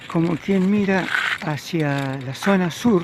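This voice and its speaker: Over noticeable background noise, a man with high pitch and ordinary pitch variation talks at a very slow pace. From Argentina, Buenos Aires province (Carmen de Areco). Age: 70s. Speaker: local historian narrating memories. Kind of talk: narrated video tour. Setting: outdoors, riding a bicycle. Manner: conversational, relaxed.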